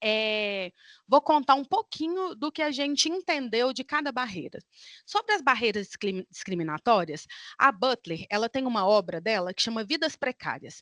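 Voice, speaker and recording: A high-pitched woman's voice makes very wide pitch swings at a moderate pace, dry and close with no echo against a quiet background. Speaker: academic researcher. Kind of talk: conference talk.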